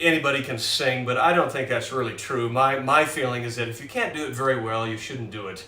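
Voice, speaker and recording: In an American accent, a man of medium pitch talks fairly quickly with hardly any pauses, while audible room echo and noticeable background noise surround him. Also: big swings in loudness. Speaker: pianist. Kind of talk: casual chat. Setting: live stream from home. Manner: halting.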